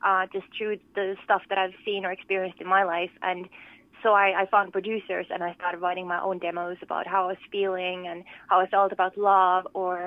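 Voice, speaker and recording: A woman with a slight Finnish accent talks at a fairly quick pace in a medium pitch with monotone, flat intonation. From Finland, Lohja. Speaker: pop singer-songwriter. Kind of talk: interview. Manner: hesitant, many fillers.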